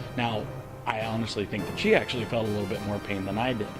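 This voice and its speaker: Music plays behind a man speaking. His voice sits at a medium pitch with ordinary pitch variation. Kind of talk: casual talk to camera.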